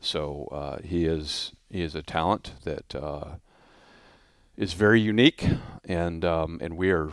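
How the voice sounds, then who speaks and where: On a very clean recording with a silent background, a man speaks at a very deep, low pitch with vocal fry. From US (army brat, moved often). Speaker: motorsports company president. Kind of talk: interview. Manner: halting, many repetitions.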